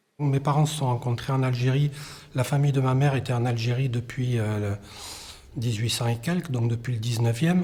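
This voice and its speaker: Noticeable background noise sits under a man speaking at medium pitch and a fairly quick pace. His intonation is fairly even and his loudness very even. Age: 50s. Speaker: documentary interviewee. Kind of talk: testimony. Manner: halting, many hesitations.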